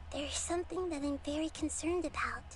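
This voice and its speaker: In a put-on character voice, someone talks at a very fast pace and extremely high pitch, with clear background noise behind them. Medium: video game. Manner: gentle, reassuring.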